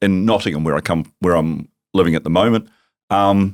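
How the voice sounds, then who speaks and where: A man with a New Zealand accent, very deep and low in pitch, at a very fast pace, on a very clean recording with a silent background and a dry, close sound with no echo. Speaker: tech company founder. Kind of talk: podcast interview. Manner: animated.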